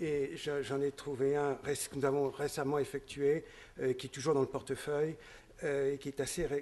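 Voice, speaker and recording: The man's voice sits at a fairly high pitch yet has a dark, mellow tone. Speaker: investment fund manager. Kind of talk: conference presentation. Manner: halting, many hesitations and repeated words.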